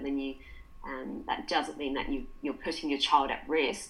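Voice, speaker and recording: A woman's voice comes with audible room echo. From England. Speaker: dietitian. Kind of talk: interview.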